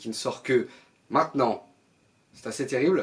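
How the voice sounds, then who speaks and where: A man is speaking. His pitch is fairly high. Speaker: film critic YouTuber. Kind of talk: film review monologue.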